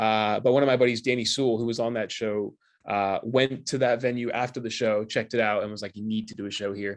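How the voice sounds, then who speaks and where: Against a quiet background, a man speaks at a very fast pace with medium pitch and monotone, flat intonation. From United States. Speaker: stand-up comedian. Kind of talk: interview. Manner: casual, filler-heavy.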